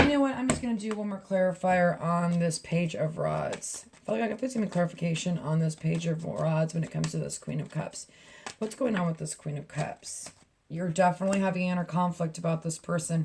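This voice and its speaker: A woman speaks at a fairly quick pace with a fairly low pitch and ordinary pitch variation. It is an ordinary speaking voice. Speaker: tarot reader. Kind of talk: tarot reading monologue. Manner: casual, chatty.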